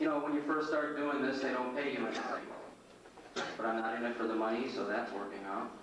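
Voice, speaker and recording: A man rushes along at a very fast pace and medium pitch, with noticeable background noise. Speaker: magician turned stand-up comic. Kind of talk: stand-up comedy set. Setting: comedy club stage with live audience. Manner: deadpan, one-liner delivery.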